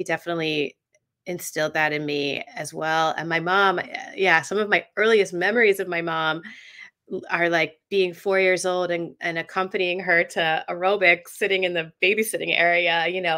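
Over a quiet background, a speaker in an American accent has a bright, sharp tone and fairly even intonation. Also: woman, fairly low pitch for a woman, moderate pace. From US South, Atlanta. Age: 40s. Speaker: journalist and author. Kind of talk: casual interview chat. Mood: warm, reflective. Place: home room.

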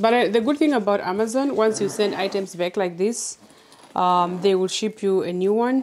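There is noticeable background noise. A woman speaks with ordinary pitch variation. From Namibia. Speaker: faith-based content creator. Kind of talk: unboxing vlog. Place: home room. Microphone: lapel.

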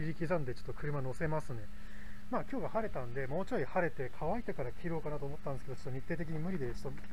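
A man talks very fast, his pitch varying in an ordinary way, with noticeable background noise behind him. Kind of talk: casual vlog chat. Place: garden. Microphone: phone near.

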